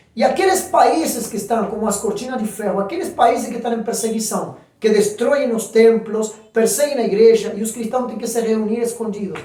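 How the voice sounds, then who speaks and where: A man speaks at an extremely high pitch. Audible room echo surrounds his voice. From Argentina. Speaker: pastor. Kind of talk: sermon. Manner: animated.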